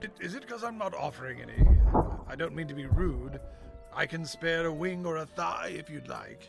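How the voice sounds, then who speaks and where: Over clear background music, a man uses a put-on character voice with a fairly high pitch at a moderate pace. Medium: audio drama. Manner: prissy, indignant.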